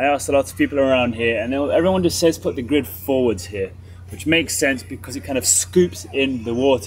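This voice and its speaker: Light background noise sits behind a man's voice. He sounds somewhat breathy. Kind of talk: casual vlog explanation. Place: open country.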